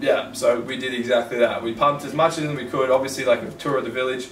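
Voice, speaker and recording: The voice moves at a fairly quick pace, with audible room echo and light background noise. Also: man. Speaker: podcast host. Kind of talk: casual podcast chat. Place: home room.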